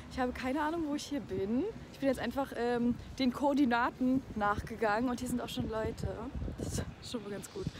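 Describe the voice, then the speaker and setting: Against noticeable background noise, a woman speaks at a high pitch with ordinary pitch variation in a dry sound with no echo. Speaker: vlogger. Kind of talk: casual vlog chat.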